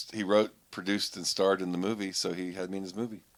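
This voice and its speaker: With an unremarkable speaking voice, a man talks at a fairly quick pace and fairly low pitch. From Pittsburgh, Pennsylvania. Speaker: comedian. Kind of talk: casual chat.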